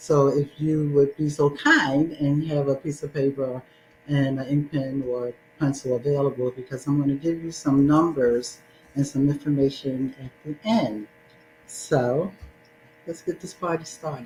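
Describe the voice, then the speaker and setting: Music plays in the background as a woman speaks at a fairly slow pace. Her voice is very deep and low, with fairly even intonation. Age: 60s. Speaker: domestic violence advocate and speaker. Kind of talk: testimony.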